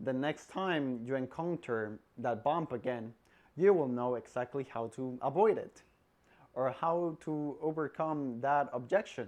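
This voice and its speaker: A man with a non-native accent speaks at a fairly slow pace and medium pitch. The background is quiet. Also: ordinary pitch variation. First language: not English. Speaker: salesperson giving career advice. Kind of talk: casual advice vlog.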